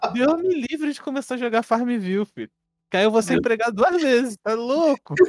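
Extremely high male voice at a moderate pace, with lively intonation and big swings in loudness, in a dry, close sound with no echo. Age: 20s. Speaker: game developer and podcast co-host. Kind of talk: casual chat. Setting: live stream.

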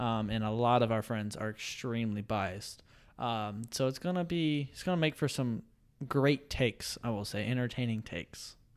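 Man at medium pitch in an ordinary speaking voice, moderate pace, ordinary pitch variation, very clean recording, silent background. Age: 20s. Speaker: podcast co-host and nursing student. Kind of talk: casual chat.

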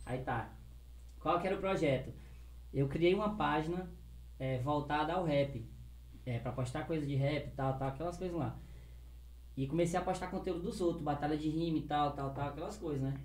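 Audible room echo surrounds a somewhat breathy voice at a moderate pace. Ordinary pitch variation is broken by long, frequent pauses. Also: man, fairly high pitch for a man. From Acre, Brazil. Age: 20s. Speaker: rapper and YouTuber. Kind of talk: casual chat. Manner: animated.

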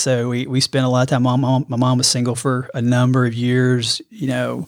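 With an Alabama accent, a man speaks at a moderate pace and medium pitch in a monotone, flat intonation. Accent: US Southern (Alabama). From Alabama, Birmingham. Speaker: amateur runner, father of three. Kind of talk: casual chat.

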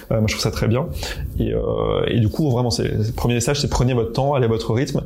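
At a very fast pace, a man speaks at medium pitch with a dark, mellow tone, vocal fry and ordinary pitch variation, with audible room echo around him. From eastern France. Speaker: public health researcher. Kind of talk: testimony. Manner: halting.

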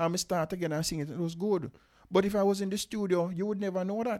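Talking at a very fast pace, a man has a high pitch and ordinary pitch variation. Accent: Jamaican. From Jamaica. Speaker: father of the host. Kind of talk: casual chat.

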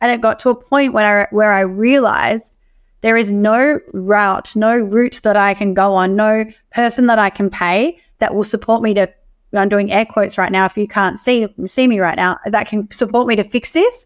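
A woman with an Australian accent speaks at a moderate pace with a fairly high pitch. Her intonation is fairly even and her loudness very even. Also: very clean recording, silent background. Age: 30s. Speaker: emotional wellness coach. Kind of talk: podcast interview.

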